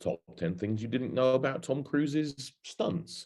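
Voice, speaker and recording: A man with an English accent talks at a fairly slow pace in a dark, mellow tone. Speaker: marketing industry speaker. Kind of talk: webinar presentation. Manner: hesitant with fillers.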